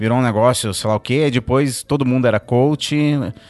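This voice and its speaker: Here is a man with an ordinary speaking voice and a medium pitch, showing ordinary pitch variation. He keeps a moderate pace over a quiet background. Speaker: pastor. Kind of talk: casual chat. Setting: studio.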